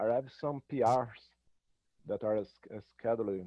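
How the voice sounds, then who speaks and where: Speaking at a fairly slow pace, a man with a non-native accent keeps a medium pitch and fairly even intonation. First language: not English. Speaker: open source contributor. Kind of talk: online community meeting discussion. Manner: halting, many hesitations.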